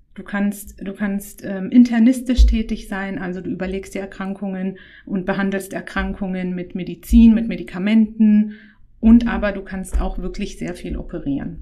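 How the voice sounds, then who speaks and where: A woman talks at a fairly slow pace and a medium pitch. She has a plain, everyday voice. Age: 30s. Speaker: gynecologist. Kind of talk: casual interview.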